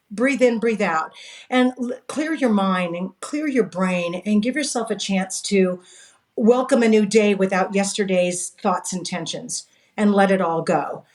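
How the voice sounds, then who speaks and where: Speaking in a Californian accent, a woman has a medium pitch. Her pace is fairly slow, with ordinary pitch variation. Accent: General American (Californian). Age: 60s. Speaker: direct sales coach. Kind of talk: interview.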